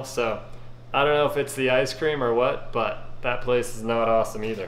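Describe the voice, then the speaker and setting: Audible room echo surrounds a man who speaks in a monotone, flat intonation at a moderate pace. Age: 40s. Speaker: YouTube food reviewer. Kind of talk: casual video review. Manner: casual with frequent fillers. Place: kitchen. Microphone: phone near.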